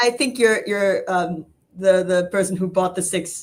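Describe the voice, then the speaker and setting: The speaker is a woman. Her pitch is fairly low. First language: German. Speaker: real estate investment executive. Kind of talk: interview. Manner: hesitant with many fillers.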